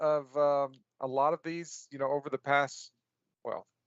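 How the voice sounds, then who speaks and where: Pitched fairly high, a man speaks at a fairly slow pace in an ordinary speaking voice. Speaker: cloud tech talk show host. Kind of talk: casual chat.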